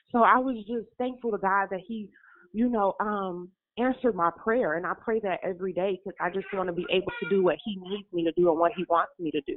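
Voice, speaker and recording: Speaking at a fairly quick pace, a woman has a plain, everyday voice at a medium pitch with ordinary pitch variation. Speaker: caller. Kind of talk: testimony. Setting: phone call.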